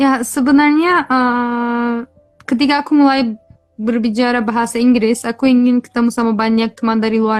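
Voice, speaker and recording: Speaking at a fairly quick pace, a woman uses a high voice with fairly even intonation. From Turkey (Kurdish). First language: Kurdish or Turkish (speaking Indonesian). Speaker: language tutor. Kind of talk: interview.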